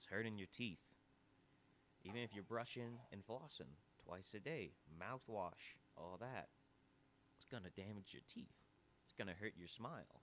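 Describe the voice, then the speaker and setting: A man at a fairly low pitch and moderate pace, with ordinary pitch variation, big swings in loudness and long, frequent pauses. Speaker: podcast host. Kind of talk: casual podcast monologue. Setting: live recording at an audio bar. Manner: animated.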